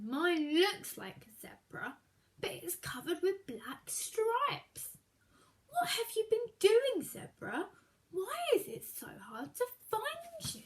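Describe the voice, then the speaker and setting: A woman uses a put-on character voice at an extremely high pitch with very wide pitch swings. Her loudness swings widely, and her pace is fairly slow. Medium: read story. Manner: curious, slightly vain.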